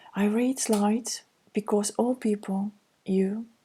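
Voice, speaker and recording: A woman's somewhat breathy voice with an Estonian accent and a dark, mellow tone. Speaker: counselor. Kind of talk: reading slides aloud.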